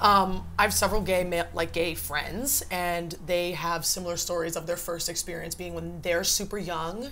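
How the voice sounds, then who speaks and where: A woman speaks at a fairly slow pace. There is audible room echo. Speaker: podcast guest. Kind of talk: casual chat.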